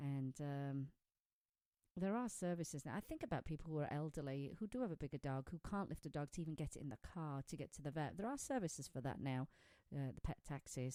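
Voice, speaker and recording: With a British accent, a woman talks at a very fast pace in a very deep, low pitch, her dark, mellow tone and ordinary pitch variation captured in a dry, close sound with no echo on a very clean recording with a silent background. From Britain. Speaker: pet radio show host. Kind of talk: casual radio chat.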